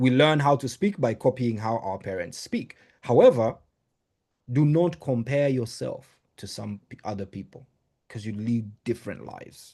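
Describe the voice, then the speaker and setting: Speaking at a moderate pace against a quiet background, a man with a medium pitch and a dark, mellow tone uses ordinary pitch variation, his loudness swinging widely. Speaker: motivational speaker. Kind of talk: training talk. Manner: animated.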